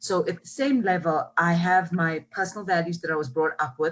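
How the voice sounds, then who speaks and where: A woman talks at a fairly quick pace and a fairly low pitch. Her voice is somewhat breathy, with ordinary pitch variation. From South Africa, KwaZulu-Natal south coast. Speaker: marketing executive. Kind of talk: interview. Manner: animated.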